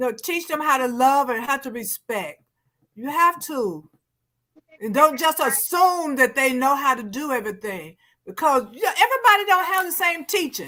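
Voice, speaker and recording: A woman speaks at a moderate pace in a raised, projected voice, her high pitch and bright, sharp tone carrying very wide pitch swings and big shifts in loudness. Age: 60s. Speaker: TV talk show co-host. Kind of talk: casual panel discussion.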